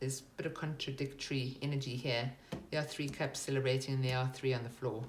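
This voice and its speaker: Very fast and monotone, with flat intonation and very even loudness, a woman with a very deep, low pitch speaks in a somewhat breathy voice amid audible room echo. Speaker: tarot reader. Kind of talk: tarot reading.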